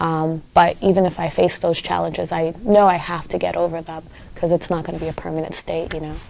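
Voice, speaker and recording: A woman with a Haitian accent speaks at a fairly quick pace, her loudness swinging widely. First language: Haitian Creole. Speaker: community activist. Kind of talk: interview. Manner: hesitant with fillers and repetitions.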